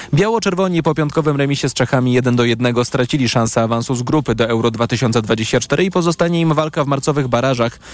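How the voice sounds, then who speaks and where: The speech runs at a very fast pace with hardly any pauses, very even loudness and ordinary pitch variation. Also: man, medium pitch for a man. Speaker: radio newsreader. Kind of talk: news reading. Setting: studio.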